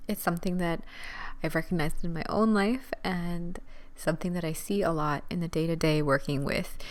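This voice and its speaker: A soft-spoken woman with a fairly low voice talks at a moderate pace with ordinary pitch variation, with audible room echo. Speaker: podcast host, dance teacher. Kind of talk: solo podcast talk, motivational. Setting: at home, recording late at night. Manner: quiet, soft-spoken.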